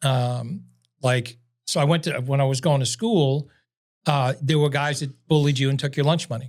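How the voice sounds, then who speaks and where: A man speaks in a New York accent, fairly high in pitch and somewhat breathy, with fairly even intonation. The recording is very clean with a silent background. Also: moderate pace. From New York City. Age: 70s. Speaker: salesman. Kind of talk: casual chat.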